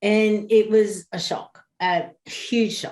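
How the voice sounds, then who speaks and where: The speaker is a woman. She has an Australian accent. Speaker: bereaved parent. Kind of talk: interview.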